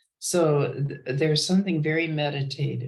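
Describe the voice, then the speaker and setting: Somewhat breathy and very deep, a woman with an American accent talks at a fairly slow pace with fairly even intonation. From US Midwest, Chicago. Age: 80s+. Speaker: retired business analyst. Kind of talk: casual interview chat. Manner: halting.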